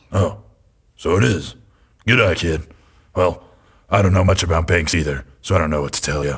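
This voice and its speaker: A put-on character voice, raspy, at a moderate pace with long, frequent pauses. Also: man, very deep, low pitch for a man. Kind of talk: noir detective voice-over. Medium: audio drama. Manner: deadpan, world-weary.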